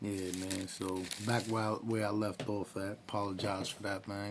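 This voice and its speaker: Noticeable background noise beneath a monotone, flat delivery. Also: man. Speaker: vlogger telling personal story. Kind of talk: casual personal story vlog. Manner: loud.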